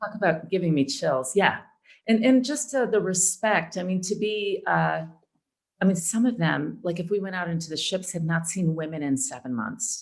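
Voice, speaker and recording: A woman's somewhat breathy voice with an American accent and lively intonation. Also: medium pitch for a woman, moderate pace. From Chicago and Atlanta. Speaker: actor and audiobook narrator. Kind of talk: interview answer.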